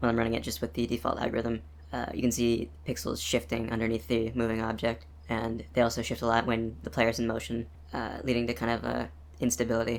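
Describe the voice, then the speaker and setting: A man talks very fast at medium pitch. His intonation is lively. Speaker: game developer. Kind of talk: casual devlog narration. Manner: fast, hesitant with many fillers.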